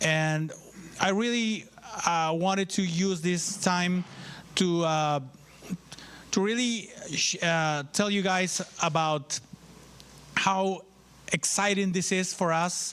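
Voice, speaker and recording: Speaking very slowly with a Spanish accent, a man uses a high pitch, fairly even intonation and very even loudness, leaving long, frequent pauses. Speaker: university official. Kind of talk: ceremony speech. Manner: halting.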